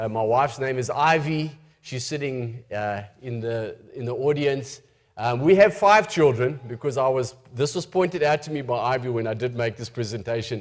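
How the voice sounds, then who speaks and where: This man speaks at a medium pitch with a South African accent. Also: ordinary pitch variation, moderate pace. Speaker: missionary preacher. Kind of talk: church presentation. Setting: church with audience.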